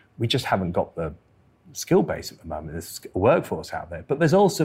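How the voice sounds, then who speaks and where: The voice is somewhat breathy and moves at a very fast pace. The recording is very clean, with a silent background. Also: man. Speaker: climate scientist. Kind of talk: live interview. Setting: stage with audience.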